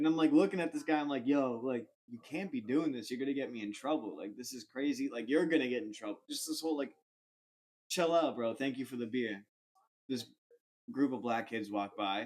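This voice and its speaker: With a Boston accent, a man talks at a fairly quick pace with ordinary pitch variation. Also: medium pitch for a man. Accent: American (Boston area). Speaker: comedian podcast host. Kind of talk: casual chat, storytelling. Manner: animated.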